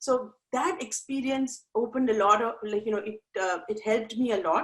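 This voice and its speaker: At a moderate pace, a woman with an Indian accent speaks in a fairly high pitch. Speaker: life coach. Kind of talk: interview. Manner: halting.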